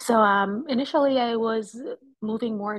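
This woman's voice is fairly high-pitched and somewhat breathy. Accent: slight Jamaican. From Jamaica (Kingston). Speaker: licensed counselor and mental health content creator. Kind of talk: expert interview conversation.

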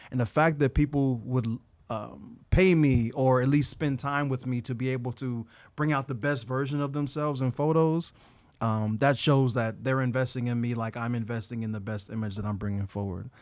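Recorded very clean with a silent background, a man talks at a moderate pace and medium pitch. He has an unremarkable speaking voice with ordinary pitch variation. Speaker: photographer. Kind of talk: casual interview chat. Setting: studio.

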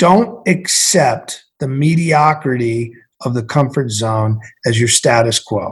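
Very slow and somewhat breathy, this American-accented voice swings very widely in pitch. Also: man. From central Massachusetts. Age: 50s. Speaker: former Navy SEAL, entrepreneur and author. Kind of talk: interview.

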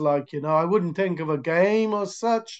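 Against a quiet background, a man with a high pitch talks at a fairly slow pace with ordinary pitch variation. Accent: Welsh. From Wales, near Cardiff. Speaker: American football coach. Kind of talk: interview. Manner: halting.

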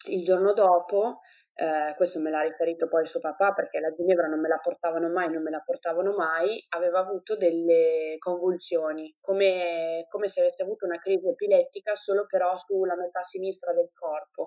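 A woman with a fairly low pitch and a dark, mellow tone speaks at a fairly quick pace with monotone, flat intonation. The sound is dry and close, with no echo. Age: 20s. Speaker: mother sharing birth stories. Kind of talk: testimony.

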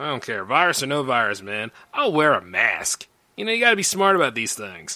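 This man has a bright, sharp tone at a fairly high pitch, with very wide pitch swings and vocal fry. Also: fairly quick pace. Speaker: radio host. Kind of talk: casual chat. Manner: animated.

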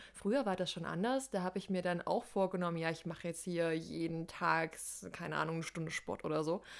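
A woman talks at a fairly quick pace in a plain, everyday voice. Her pitch is fairly low and varies in an ordinary way. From Saxony, Germany. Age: 20s. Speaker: podcast co-host, social work student. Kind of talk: casual chat.

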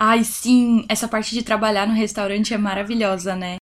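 Recorded very cleanly against a silent background, a woman speaks in a fairly high, somewhat breathy voice. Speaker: podcast host. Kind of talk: casual interview.

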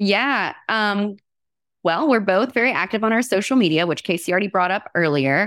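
A woman with a normal speaking voice at medium pitch, lively intonation, very even loudness and a moderate pace, in a very clean recording with a silent background. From US South (Alabama). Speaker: state legislator and occupational therapist. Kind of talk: podcast interview.

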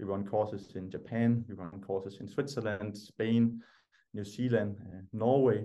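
A Danish accent, dark and mellow tone, fairly even intonation, big swings in loudness and a moderate pace. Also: man, fairly low pitch for a man. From Denmark. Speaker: ski instructor training company founder. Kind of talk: podcast interview. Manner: halting, many fillers and repeated words.

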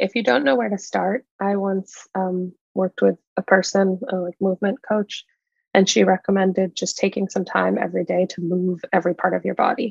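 The woman's voice carries vocal fry and ordinary pitch variation, recorded dry and close with no echo. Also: medium pitch for a woman, moderate pace. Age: 30s. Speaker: podcast co-host. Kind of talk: casual chat.

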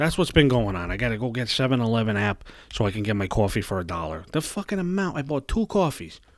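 A man with a New York accent at a moderate pace, his pitch swinging very widely. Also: very clean recording, silent background. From New York City (Brooklyn). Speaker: podcast host. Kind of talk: casual rant monologue. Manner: animated.

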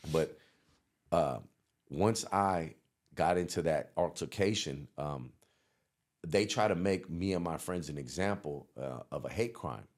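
This man's voice is very deep and low, with vocal fry and ordinary pitch variation. He talks at a fairly slow pace with long, frequent pauses. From San Francisco Bay Area. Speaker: rapper. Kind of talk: interview.

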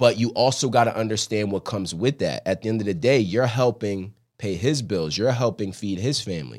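This is a man with an American accent and an unremarkable speaking voice, talking at a fairly quick pace with ordinary pitch variation. The recording is very clean, with a silent background. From Philadelphia, US. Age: 20s. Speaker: former college running back and coach. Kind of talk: casual interview chat. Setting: studio.

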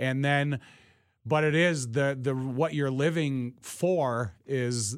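Speaking very slowly in an American accent, a man uses a medium pitch with ordinary pitch variation. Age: 50s. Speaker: former pro football player and broadcaster. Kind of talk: casual interview. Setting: studio.

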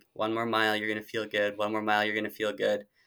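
The recording is very clean, with a silent background. A man speaks with an Upper Midwest US accent in a bright, sharp tone. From Minnesota. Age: 20s. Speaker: marathon runner. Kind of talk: casual interview.

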